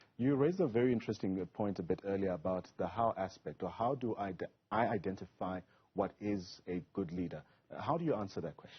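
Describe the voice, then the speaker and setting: At a fairly quick pace, a man with a fairly low pitch and ordinary pitch variation talks in an unremarkable speaking voice. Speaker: TV news presenter. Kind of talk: TV interview questions. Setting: studio.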